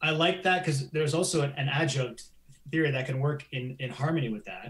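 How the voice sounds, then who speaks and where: Fairly quick and somewhat breathy, a man with a Canadian accent talks at a fairly high pitch with ordinary pitch variation. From Canada. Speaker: science journalist. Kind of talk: live interview chat. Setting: live stream.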